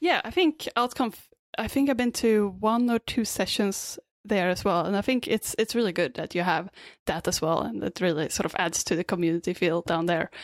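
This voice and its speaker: A woman's medium-pitched voice with a Swedish accent, lively intonation and a fairly quick pace, very cleanly recorded against a silent background, dry and close with no echo. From Sweden. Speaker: app developer and meetup organizer. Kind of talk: casual chat.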